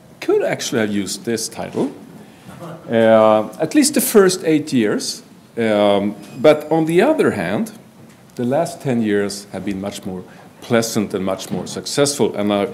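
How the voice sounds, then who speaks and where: A man's medium-pitched voice at a fairly slow pace, lively intonation, audible room echo and noticeable background noise. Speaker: forensic psychology professor. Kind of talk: conference presentation.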